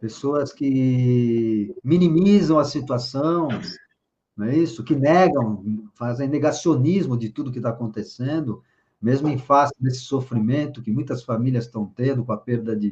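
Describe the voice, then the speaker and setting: Somewhat breathy and dark, mellow in tone, a man speaks at a medium pitch and fairly slow pace with ordinary pitch variation. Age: 60s. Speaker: spiritual leader. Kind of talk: interview.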